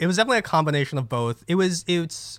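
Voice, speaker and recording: An American accent comes through at a fairly quick pace with lively intonation. It is a normal speaking voice on a very clean recording with a silent background. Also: man. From New Jersey. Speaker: podcast co-host. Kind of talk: casual chat.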